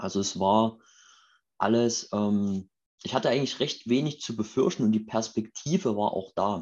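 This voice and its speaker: Here is a normal speaking voice from a man at medium pitch, with ordinary pitch variation. He talks at a moderate pace against a quiet background. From Saxony, Chemnitz (eastern Germany). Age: 30s. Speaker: startup founder. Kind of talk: interview.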